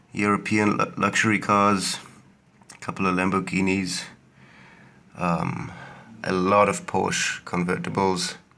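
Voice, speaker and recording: In a bright, sharp tone, a man talks at a fairly slow pace with fairly low pitch and fairly even intonation. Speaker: toy collector video maker. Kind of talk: show-and-tell video. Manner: hesitant, many fillers.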